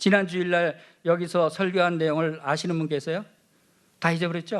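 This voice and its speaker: A man speaks loudly at a high pitch and a fairly quick pace, in a flat monotone. The recording is very clean, with a silent background. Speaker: pastor. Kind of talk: sermon.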